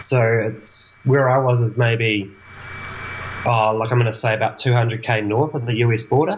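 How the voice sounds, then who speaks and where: A man's medium-pitched voice with a New Zealand accent, fairly even intonation, a moderate pace and noticeable background noise. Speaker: traveling winemaker. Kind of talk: casual interview. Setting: video call.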